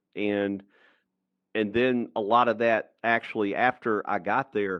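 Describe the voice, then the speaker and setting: Speaking at a fairly slow pace in a Southern US accent, a man has a fairly low pitch and ordinary pitch variation. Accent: Southern US (Georgia). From US South, rural Georgia. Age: 60s. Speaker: entrepreneur and author. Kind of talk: podcast interview.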